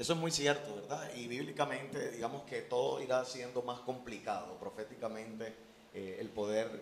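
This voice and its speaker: Over noticeable background noise and audible room echo, a man speaks at a moderate pace with a medium pitch and fairly even intonation. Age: 30s. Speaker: pastor. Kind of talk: interview testimony.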